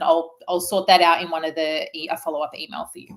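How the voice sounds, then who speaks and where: A woman is speaking. She has an Australian accent. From Australia, Melbourne. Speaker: naturopath. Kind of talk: webinar presentation. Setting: online webinar. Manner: fast; animated.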